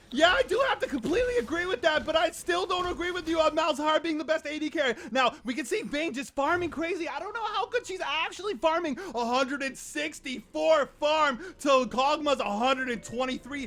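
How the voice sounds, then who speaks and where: A man speaks loud and fairly quickly with hardly any pauses, his extremely high pitch moving in lively intonation. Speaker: gaming commentator. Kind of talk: comedic esports shoutcast. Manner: loud, excitable.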